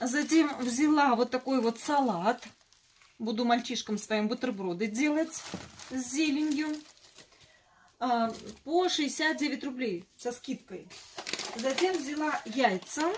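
With long, frequent pauses and ordinary pitch variation, a woman speaks at a very slow pace in a high voice over light background noise. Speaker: home vlogger. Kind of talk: casual vlog chat. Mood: cheerful, joking. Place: kitchen. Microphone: phone near.

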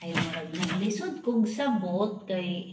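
Audible room echo and light background noise surround the recording. A woman speaks at a very slow pace with ordinary pitch variation. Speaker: home vlogger. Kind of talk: casual unboxing chat. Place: home room. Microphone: phone near.

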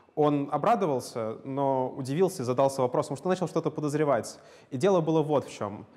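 A man speaks at a fairly high pitch. His pace is moderate. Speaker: lecturer. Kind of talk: lecture. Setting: lecture hall with students. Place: classroom. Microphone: lapel.

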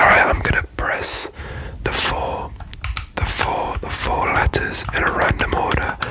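Whispering and soft-spoken, a man goes at a fairly slow pace. The sound is dry with no echo, though background noise is noticeable. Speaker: ASMR creator. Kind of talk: soft-spoken ASMR attention test. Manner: soft close-mic ASMR whisper. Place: home room. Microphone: studio mic.

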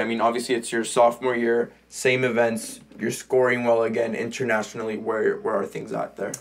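A man's medium-pitched voice with an American accent, flat monotone intonation and a moderate pace. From California, US (Mexican parents). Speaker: podcast host. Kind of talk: casual interview chat. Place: home room. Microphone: studio mic.

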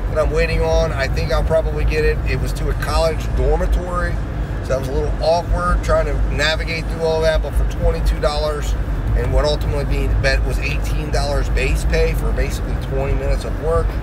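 A man speaks fairly quickly while loud background noise fills the recording. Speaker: delivery driver vlogger. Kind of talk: casual vlog chat. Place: car. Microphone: phone near.

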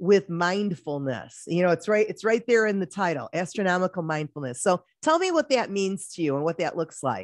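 Someone with an American accent talks at a moderate pace, the sound dry with no echo and the background quiet. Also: woman. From Detroit. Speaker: talk show host. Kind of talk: interview. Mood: warm, enthusiastic. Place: home room. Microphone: studio mic.

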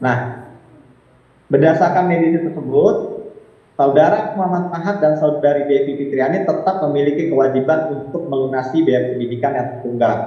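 A man talks at a fairly quick pace in a fairly high voice with ordinary pitch variation. Room echo is audible, and there is noticeable background noise. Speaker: lawyer. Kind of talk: press release reading. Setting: video call. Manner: formal.

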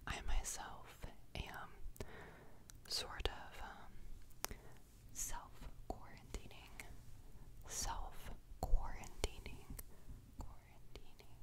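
Whispering and soft-spoken, a woman speaks at a very slow pace with long, frequent pauses over noticeable background noise. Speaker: home video creator. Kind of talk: casual vlog chat, soft ASMR-style. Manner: soft ASMR whisper with repeated words. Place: home room. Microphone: studio mic.

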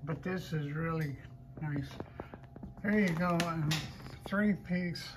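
The pace is very slow. Noticeable background noise is present. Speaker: estate auction host. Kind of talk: walkthrough commentary describing items. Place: hall. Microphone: phone near.

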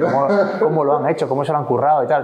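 A man at a very fast pace, with ordinary pitch variation and audible room echo. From Asturias, Spain. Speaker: sports federation president, former Olympic canoeist; guest. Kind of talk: interview. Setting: at his home. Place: meeting room. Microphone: lapel.

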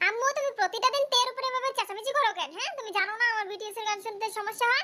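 A squeaky, put-on character voice with extremely high pitch. The words come out at a very fast pace. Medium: audio drama. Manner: indignant, fast.

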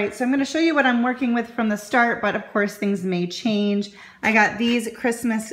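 Light background noise under speech at a moderate pace. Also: woman. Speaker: craft vlogger. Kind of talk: tutorial. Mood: cheerful, upbeat. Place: home room. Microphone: phone near.

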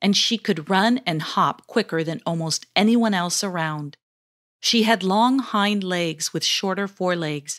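This is reading aloud in a natural voice with ordinary pitch variation. The background is quiet.

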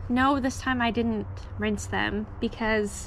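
A woman speaks with light background noise behind her. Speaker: home gardener vlogger. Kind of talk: casual vlog chat. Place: garden. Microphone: phone near.

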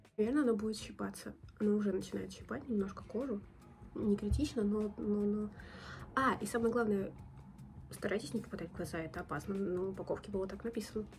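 A woman talks at a very fast pace with ordinary pitch variation. Faint music plays in the background. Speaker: beauty vlogger. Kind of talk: casual tutorial vlog chat. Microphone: phone near.

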